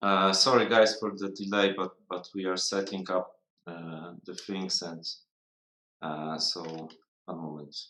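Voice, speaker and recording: Speaking at a fairly slow pace with a non-native accent, a man uses a very deep, low pitch, a bright, sharp tone, fairly even intonation and big swings in loudness. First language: not English. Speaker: miniature sculptor. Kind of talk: casual live stream chat. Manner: halting, many fillers.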